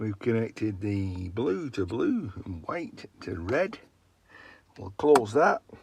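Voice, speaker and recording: Speaking at a very slow pace, a man with a fairly low pitch uses a relaxed, somewhat breathy tone, lively intonation and big swings in loudness. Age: 60s. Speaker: vlogger. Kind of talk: casual vlog narration. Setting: garden shed. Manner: relaxed, chatty.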